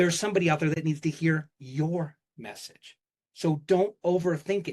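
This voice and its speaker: Animated in tone, a man talks at a moderate pace and a fairly high pitch with ordinary pitch variation. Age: 50s. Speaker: keynote speaker. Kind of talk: keynote talk. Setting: stage with audience.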